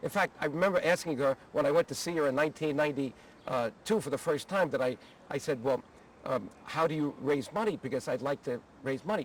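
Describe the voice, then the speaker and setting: Here a man talks at a fairly quick pace with a fairly high pitch. It is a normal speaking voice. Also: ordinary pitch variation. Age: 60s. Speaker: former congressman, advocacy group leader. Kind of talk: personal reminiscence interview. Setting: outdoors at the Capitol.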